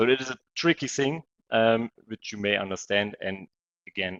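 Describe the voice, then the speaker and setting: At a moderate pace, a man with an ordinary speaking voice talks with ordinary pitch variation. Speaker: trading coach. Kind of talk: webinar presentation.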